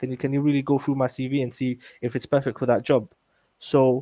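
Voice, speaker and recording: A man's medium-pitched voice carries a dark, mellow tone. He moves at a fairly quick pace in a dry, close sound with no echo. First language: not English. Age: 20s. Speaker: community youth worker. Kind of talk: interview conversation.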